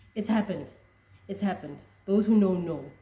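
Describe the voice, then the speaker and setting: With a dark, mellow tone and a somewhat breathy quality, a woman speaks at a fairly low pitch with fairly even intonation. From South Africa. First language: a Southern African language. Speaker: rugby fan vlogger. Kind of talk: casual reaction vlog.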